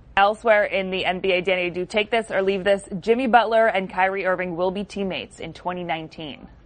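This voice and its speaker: A woman with an ordinary speaking voice talks at a moderate pace and medium pitch, with hardly any pauses. The background is quiet. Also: fairly even intonation. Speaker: show producer. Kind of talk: reading headlines aloud.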